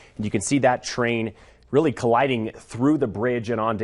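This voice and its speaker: A man talks in an unremarkable speaking voice at a medium pitch. His pace is moderate, with ordinary pitch variation. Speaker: TV news anchor and reporter. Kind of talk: TV news anchor and reporter delivery. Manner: polished broadcast delivery.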